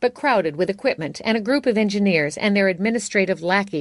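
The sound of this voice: The speaker uses an unforced reading voice, and the pitch varies in an ordinary way.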